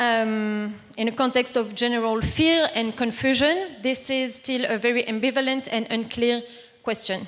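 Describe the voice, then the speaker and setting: With a French accent, a woman talks at a high pitch and a moderate pace, her loudness very even and her intonation fairly even. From southern France, near Toulouse. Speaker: activist and panel speaker. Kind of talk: conference talk. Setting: conference panel with audience. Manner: formal.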